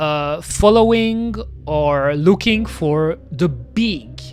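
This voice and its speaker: Music is audible behind the voice. The speech carries a non-native accent. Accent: peculiar non-native. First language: French. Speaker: VTuber streamer. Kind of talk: casual gaming livestream chat. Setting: livestream with webcam. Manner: hesitant, many fillers.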